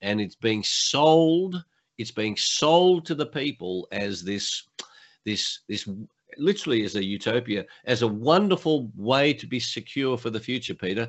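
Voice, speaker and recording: Speaking fairly slowly with an Australian accent, a man of medium pitch makes very wide pitch swings. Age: 70s. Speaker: motivational speaker and coach, former lawyer. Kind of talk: interview.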